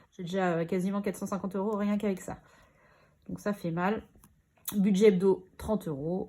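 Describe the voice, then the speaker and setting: A woman with a dark, mellow tone speaks with fairly even intonation and long, frequent pauses, on a very clean recording with a silent background. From Normandy, France. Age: 30s. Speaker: budgeting vlogger. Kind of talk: casual chat.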